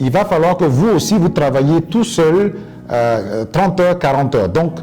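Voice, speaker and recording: The speaker moves at a fairly slow pace with very wide pitch swings and very even loudness, over noticeable background noise. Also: man, fairly high pitch for a man. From Côte d'Ivoire. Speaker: English coach and interpreter. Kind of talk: interview answer.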